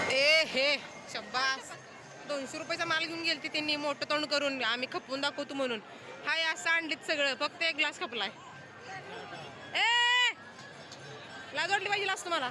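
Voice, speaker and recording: A woman speaks in a raised, projected voice, high-pitched and animated with lively intonation. Crowd noise fills the background. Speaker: MBA student vlogger. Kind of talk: casual vlog chat.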